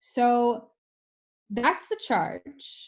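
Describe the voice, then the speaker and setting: In a bright, sharp tone, a woman speaks with an American accent. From New York. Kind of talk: online webinar teaching.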